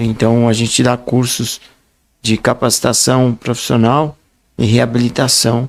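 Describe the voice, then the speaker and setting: Speaking at a fairly slow pace, the man keeps to a medium pitch. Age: 60s. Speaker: writer and speaker, blind association president. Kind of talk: podcast interview.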